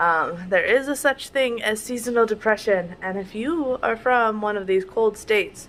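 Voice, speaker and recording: Fairly slow and fairly high, a woman's voice with an American accent shows ordinary pitch variation. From Wisconsin, with much time in Florida. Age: 20s. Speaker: vlogger, stay-at-home mom. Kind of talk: casual vlog talk to camera. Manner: casual, many fillers.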